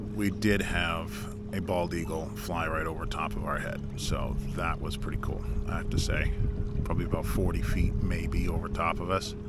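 Loud background noise surrounds a man's voice in a dry recording with no echo. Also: moderate pace. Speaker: angler vlogger. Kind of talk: casual vlog chat. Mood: relaxed, slightly weary. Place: boat. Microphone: camera far.

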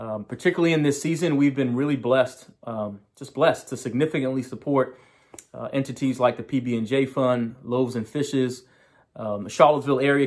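Speaking at a fairly quick pace, a man keeps his intonation fairly even. The background is quiet. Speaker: pastor. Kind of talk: sermon opening address. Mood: warm, grateful. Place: home room. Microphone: phone near.

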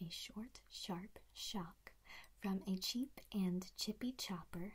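A woman's somewhat breathy voice, very slow, with ordinary pitch variation. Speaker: voice coach. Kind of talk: tutorial. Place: home room. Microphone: earbuds.

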